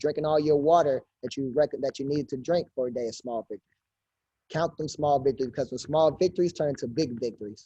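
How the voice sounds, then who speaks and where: A man's fairly high voice, dark and mellow in tone, very fast, with ordinary pitch variation and a dry, close sound with no echo. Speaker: fitness trainer. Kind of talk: info session over video call. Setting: video call. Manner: loud; energetic.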